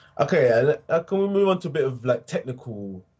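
Somewhat breathy speech at a moderate pace, with very wide pitch swings. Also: man. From England, Essex. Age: 20s. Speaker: podcast host. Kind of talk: interview. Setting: remote call across time zones.

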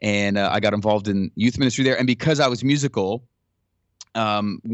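A man talks at medium pitch in an ordinary speaking voice. His pace is fairly quick and his intonation fairly even. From Ottawa, Canada. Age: 40s. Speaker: church creative arts pastor. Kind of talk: interview conversation.

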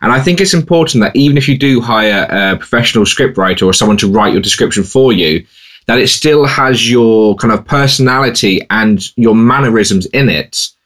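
A man with an unremarkable speaking voice talks at a moderate pace in a medium pitch, with hardly any pauses. His intonation is lively and his loudness very even. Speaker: podcast co-host and freelance seller. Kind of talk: casual podcast chat.

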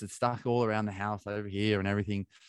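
Against a quiet background, a man speaks with an Australian accent, a fairly low pitch and fairly even intonation. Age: 30s. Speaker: ultra-endurance athlete. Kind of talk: casual chat.

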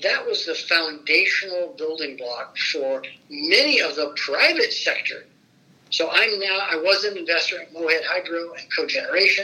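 There is noticeable background noise as a man with an American accent speaks at a moderate pace. His loudness swings widely. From Fort Wayne, Indiana. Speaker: former state legislator. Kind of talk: oral history interview.

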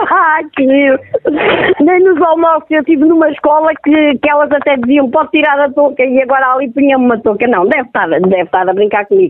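Noticeable background noise sits behind a woman whose high-pitched voice moves at a moderate pace with lively intonation. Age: 40s. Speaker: prank call victim. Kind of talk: phone conversation. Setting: phone call.

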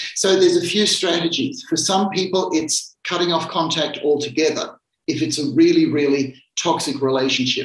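Hardly any pauses break up this speech, which keeps a moderate pace. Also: man, high pitch for a man, ordinary pitch variation. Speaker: psychiatrist answering caller questions. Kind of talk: live radio Q&A advice.

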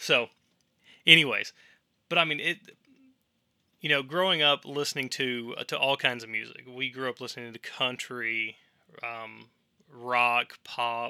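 A man with a Tennessee accent, bright and sharp in tone, at a fairly slow pace with long, frequent pauses and fairly even intonation, in a dry, close sound with no echo and a very clean recording over a silent background. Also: medium pitch for a man. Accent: Southern US (Tennessee). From US South, Tennessee. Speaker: podcast host. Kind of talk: solo monologue podcast. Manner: casual, filler-heavy.

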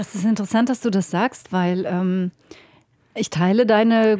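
A woman's medium-pitched voice, dark and mellow in tone, with fairly even intonation and a very clean recording against a silent background. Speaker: podcast host and politician. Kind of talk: interview. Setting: parliament building.

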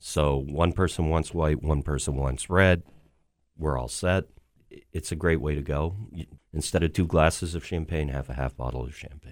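Vocal fry marks this voice, which keeps a fairly even intonation. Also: man, very deep, low pitch for a man, moderate pace. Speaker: restaurant wine director. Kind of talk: radio interview. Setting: radio studio. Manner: hesitant, many filler words.

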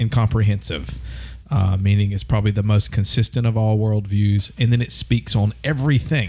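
A man with a Southern US accent speaks at a moderate pace in a dark, mellow, somewhat breathy tone, his fairly low pitch showing ordinary variation. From US South, north Alabama. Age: 40s. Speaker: podcast host. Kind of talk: casual chat.

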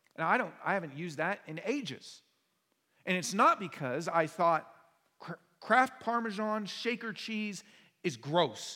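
A man with an American accent uses a raised, projected voice, a high pitch and a bright, sharp tone. He goes at a fairly slow pace with long, frequent pauses. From US Pacific Northwest. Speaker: pastor. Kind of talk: sermon.

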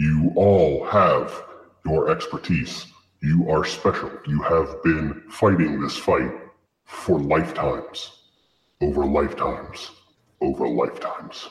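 In a put-on character voice, the speaker goes at a fairly slow pace with long, frequent pauses and a slight echo. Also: man, very deep, low pitch for a man. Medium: actual play. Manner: solemn, formal, measured.

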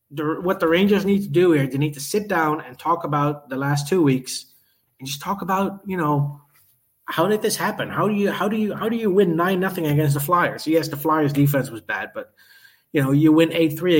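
A man talks in a plain, everyday voice at a fairly quick pace. His pitch is fairly high, with ordinary pitch variation. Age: 30s. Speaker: hockey podcast co-host. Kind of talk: casual chat.

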